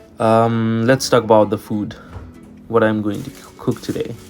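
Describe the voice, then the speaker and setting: Against music in the background, a man with a Nepali accent speaks at a fairly slow pace and a medium pitch, his intonation monotone and flat. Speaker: international student. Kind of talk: day-in-my-life vlog narration. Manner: casual.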